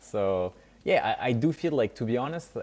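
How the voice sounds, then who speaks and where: At a moderate pace, a man with a medium pitch talks in a strong French accent. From France. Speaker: startup founder and CEO. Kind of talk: podcast interview.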